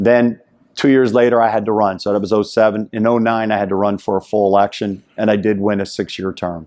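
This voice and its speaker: A man's fairly low, monotone voice with flat intonation, at a fairly quick pace. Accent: American. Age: 60s. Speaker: judge and district attorney candidate, army veteran. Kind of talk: interview. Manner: conversational, some hesitations.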